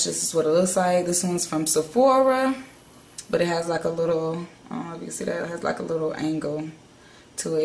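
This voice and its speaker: At a very fast pace, a woman speaks in a fairly low pitch with audible room echo. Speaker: beauty vlogger. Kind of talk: tutorial.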